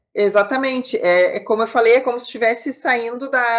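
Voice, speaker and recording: Pitched high, a woman's voice moves at a fairly quick pace. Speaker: business consultant. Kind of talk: interview.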